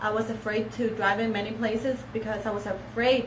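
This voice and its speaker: A woman speaks in a fairly high pitch at a moderate pace, with monotone, flat intonation. Noticeable background noise and audible room echo surround her voice. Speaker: paralegal. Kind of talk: casual chat. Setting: live stream.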